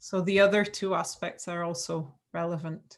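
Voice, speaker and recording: With a non-native accent, a woman speaks at a fairly slow pace with fairly even intonation. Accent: non-Scottish foreign. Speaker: education lecturer. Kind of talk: webinar presentation.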